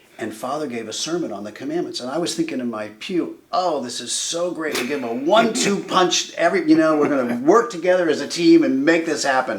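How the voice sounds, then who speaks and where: Against noticeable background noise, a man with a fairly high pitch talks at a fairly quick pace with hardly any pauses, big swings in loudness and very wide pitch swings. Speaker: interviewer. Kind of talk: interview conversation.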